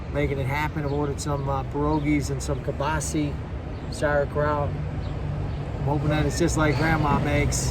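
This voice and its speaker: Background noise is noticeable. A man talks at a moderate pace. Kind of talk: casual talk to camera. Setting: outdoors.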